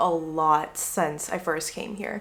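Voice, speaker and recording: A woman's voice over noticeable background noise. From Guangzhou, China. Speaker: YouTuber, travel vlogger. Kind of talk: casual talk to camera.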